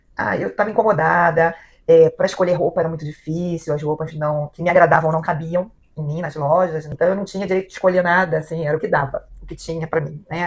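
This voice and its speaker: The woman's fairly low voice keeps a fairly even intonation. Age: 60s. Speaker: client. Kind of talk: testimony. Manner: halting.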